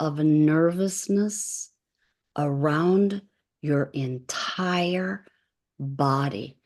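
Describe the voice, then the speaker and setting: A woman talks very slowly in a fairly low voice, with ordinary variation in her pitch. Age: 60s. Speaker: wellness coach / energy healer. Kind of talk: live stream talk with viewer comments. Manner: animated.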